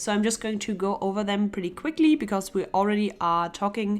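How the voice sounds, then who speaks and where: This woman speaks with a German accent. Her pitch sits in the medium range. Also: very clean recording, silent background. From Germany. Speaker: illustrator and art youtuber. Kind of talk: casual Q&A while sketching. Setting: home studio. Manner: relaxed.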